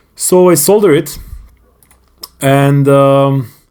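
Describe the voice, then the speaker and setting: A man with a non-native accent speaks very slowly in a fairly high pitch with ordinary pitch variation. His tone is dark and mellow. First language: not English. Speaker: hobbyist YouTuber. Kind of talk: tutorial. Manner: halting.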